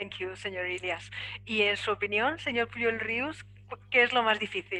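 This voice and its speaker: A woman's bright, sharp tone comes through as she talks at a fairly slow pace. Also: ordinary pitch variation. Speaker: panel moderator. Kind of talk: moderating a panel discussion.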